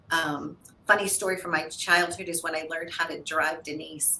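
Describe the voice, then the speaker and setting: Through noticeable background noise, a woman with an American accent speaks at a fairly low pitch. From US Midwest, St. Louis, Missouri. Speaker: TV show host and producer. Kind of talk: interview. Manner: animated.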